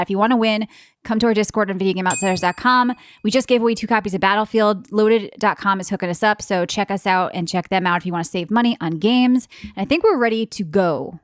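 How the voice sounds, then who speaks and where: In an American accent, a woman speaks at a very fast pace with an animated tone, medium pitch and ordinary pitch variation, on a very clean recording with a silent background. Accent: East Coast US accent, stronger when tired. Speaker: podcast co-host. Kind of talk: casual chat.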